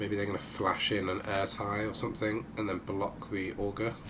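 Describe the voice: A man speaks at a fairly slow pace with a low pitch.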